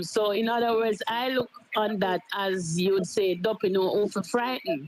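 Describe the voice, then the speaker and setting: Noticeable background noise accompanies a woman who speaks at a moderate pace and a fairly high pitch with ordinary pitch variation. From Jamaica. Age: 70s. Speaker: caller. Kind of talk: call-in comment.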